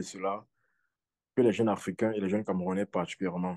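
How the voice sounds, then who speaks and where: Over a quiet background, a man speaks with a dark, mellow tone at a fairly low pitch. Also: dry, close sound with no echo. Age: 20s. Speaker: football scout and law student. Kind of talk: podcast interview.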